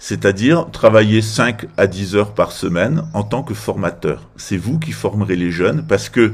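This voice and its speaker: A man speaks in a normal speaking voice, fairly low in pitch. His pace is fairly slow, with ordinary pitch variation. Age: 50s. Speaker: political commentator. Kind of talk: political monologue.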